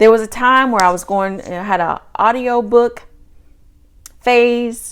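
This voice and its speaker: Speaking in a Southern US accent, a woman has a fairly high pitch. Her pace is fairly slow. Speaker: podcast host, virtual assistant business coach. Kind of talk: solo podcast monologue. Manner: casual, conversational.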